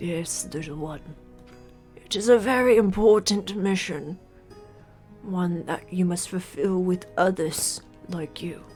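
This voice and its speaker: A put-on character voice at a middle pitch moves at a fairly slow pace with long, frequent pauses while clear music plays in the background. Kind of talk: solemn fantasy elder voice. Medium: actual play. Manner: slow, grave, formal.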